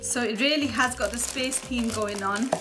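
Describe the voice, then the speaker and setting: The pace is moderate as a woman talks. Music sounds clearly behind her. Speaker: toy reviewer. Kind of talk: unboxing commentary.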